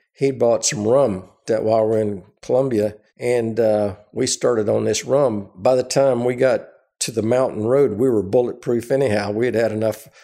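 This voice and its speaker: A man with an American accent speaks at a medium pitch in a dark, mellow tone. His intonation stays fairly even, and his loudness is very even. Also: moderate pace. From US South, Florida (Orlando). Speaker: retired airline pilot and flight engineer. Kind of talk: elderly pilot's rambling first-person war-story reminiscence. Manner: halting, full of uh fillers and self-restarts; relaxed, wry anecdotal storytelling.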